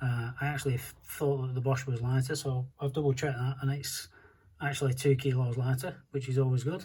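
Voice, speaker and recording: This man's voice is somewhat breathy, dark and mellow, pitched in the middle, delivered at a moderate pace with monotone, flat intonation. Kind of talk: DIY car repair tutorial.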